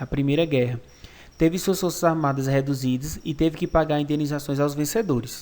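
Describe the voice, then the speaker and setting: At a fairly quick pace, a man uses an ordinary speaking voice, fairly high in pitch with ordinary pitch variation. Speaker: school history teacher. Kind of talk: online lecture. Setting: recorded virtual class.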